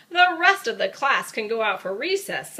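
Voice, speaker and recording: A woman uses a put-on character voice, raised and projected, at an extremely high pitch with very wide pitch swings. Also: moderate pace. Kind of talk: bedtime story. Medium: read story. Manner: stern.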